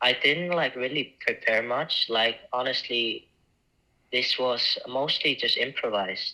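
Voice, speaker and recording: A man speaks with an Icelandic accent at a fairly slow pace. His loudness stays very even. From Iceland, small town. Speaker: actor and film festival judge. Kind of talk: interview. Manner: halting.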